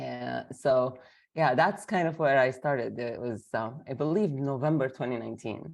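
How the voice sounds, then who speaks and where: A woman speaks at a moderate pace with a very deep, low pitch and vocal fry. Her pitch varies in an ordinary way, and the background is quiet. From Lebanon (Armenian town of Anjar). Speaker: educator and trainer. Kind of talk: interview.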